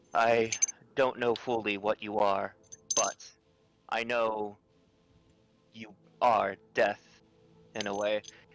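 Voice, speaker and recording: A man's put-on character voice at a medium pitch, monotone and flat, with long, frequent pauses and music in the background. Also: fairly slow pace. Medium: actual play.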